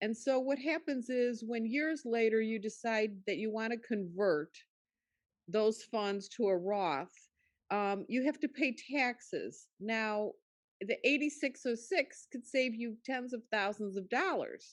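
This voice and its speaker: Against a quiet background, a woman speaks fairly slowly in a fairly high pitch with lively intonation. She has an ordinary speaking voice. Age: 60s. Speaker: class attendee. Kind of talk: audience contribution.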